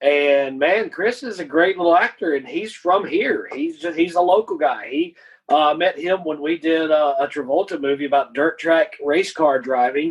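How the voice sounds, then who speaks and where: Talking at a moderate pace with hardly any pauses, a man uses a high pitch and ordinary pitch variation. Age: 50s. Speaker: independent filmmaker and writer. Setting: own back porch, remote recording.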